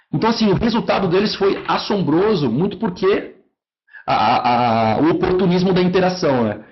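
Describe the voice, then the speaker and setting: A man's lively intonation with audible room echo. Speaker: marketing software account manager. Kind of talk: online lecture. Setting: online webinar.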